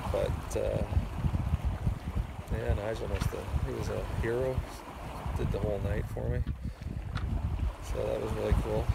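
A man is heard in a dry recording with no echo, against loud background noise. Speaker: sailor vlogger. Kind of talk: casual vlog chat. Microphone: phone near.

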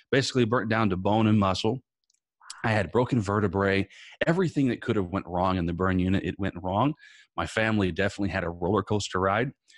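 With an American accent, a man speaks at a very fast pace in a fairly low pitch with ordinary pitch variation. The sound is dry with no echo, and the background is quiet. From Indiana, US Midwest. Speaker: motivational speaker and author, former children's pastor; motivational speaker, former children's pastor. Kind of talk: interview. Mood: earnest, telling personal trauma story. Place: home room. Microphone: studio mic.

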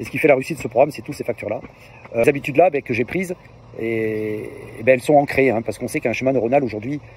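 A man at a very fast pace, ordinary pitch variation, dry sound with no echo, and light background noise. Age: 50s. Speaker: fitness program client giving testimonial. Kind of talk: testimony; testimonial interview answer. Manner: hesitant, many filler words. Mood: positive, enthusiastic. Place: open country. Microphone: phone near.

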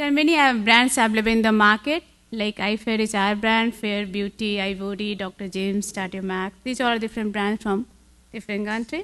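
With an Indian accent, a woman talks fairly quickly at a fairly high pitch, her intonation fairly even. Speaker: conference speaker on cosmetology; conference speaker. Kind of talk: conference talk. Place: hall.

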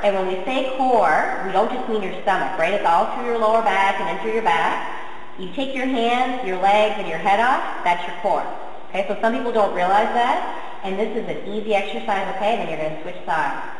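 A woman speaks at a moderate pace with hardly any pauses and ordinary pitch variation, with audible room echo and light background noise. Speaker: fitness trainer. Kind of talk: tutorial. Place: gym. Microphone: camera far.

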